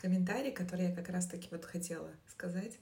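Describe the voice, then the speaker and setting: Audible room echo surrounds a woman's somewhat breathy voice at a medium pitch. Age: 30s. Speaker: marketer, new mother. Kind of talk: casual chat.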